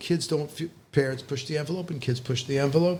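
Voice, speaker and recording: A somewhat breathy, fairly high male voice with ordinary pitch variation. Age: 60s. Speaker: rabbi and high school teacher. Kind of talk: casual chat. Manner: halting, many false starts.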